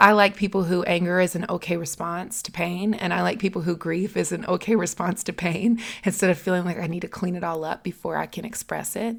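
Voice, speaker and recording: A woman with an American accent has an unremarkable speaking voice, fairly low in pitch. She talks at a fairly quick pace with hardly any pauses and fairly even intonation. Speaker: podcast host. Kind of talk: casual chat.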